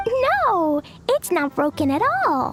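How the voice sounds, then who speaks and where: Over clear background music, someone does a put-on character voice that is squeaky and extremely high-pitched. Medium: machinima. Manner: casual, evasive.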